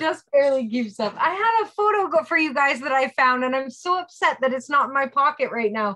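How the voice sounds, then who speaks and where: Her voice is high, bright and sharp, raised and projected. The woman's intonation is lively and her pace moderate. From Niagara region, Ontario, Canada. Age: 30s. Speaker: woodcarving and pyrography instructor. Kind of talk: casual chat. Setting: video call. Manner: animated.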